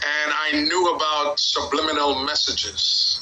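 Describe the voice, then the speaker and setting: A man talks at a very slow pace, with audible room echo and noticeable background noise in the recording. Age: 70s. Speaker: community elder. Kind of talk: group discussion.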